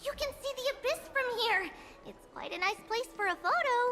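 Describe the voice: Faint music in the background behind a put-on character voice, bright, sharp in tone, with lively intonation at a moderate pace. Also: woman, extremely high pitch for a woman.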